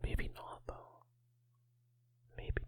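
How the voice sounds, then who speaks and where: A man whispering. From Northern Ireland. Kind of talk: ASMR channel catch-up talk. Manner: whispered.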